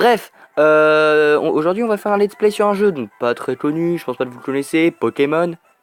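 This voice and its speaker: Music plays in the background as a man with a fairly high pitch speaks at a moderate pace, the sound dry and close with no echo. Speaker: gaming YouTuber. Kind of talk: let's play commentary. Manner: animated.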